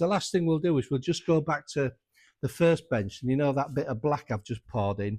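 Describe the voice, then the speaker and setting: A man speaks with a North Yorkshire accent. His pitch is fairly high and his pace moderate. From North Yorkshire, England. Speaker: motorcycle restorer and workshop owner. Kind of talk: workshop tutorial. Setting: workshop. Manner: casual, conversational.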